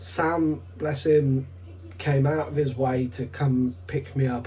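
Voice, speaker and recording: With a British accent and lively intonation, a man speaks at a medium pitch amid audible room echo. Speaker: card game vlogger. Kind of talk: vlog commentary over gameplay footage. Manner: casual.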